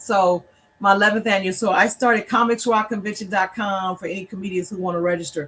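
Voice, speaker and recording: A woman with an American accent at a medium pitch, very fast in pace and fairly even in intonation. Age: 60s. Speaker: comedian and event organizer. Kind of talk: interview.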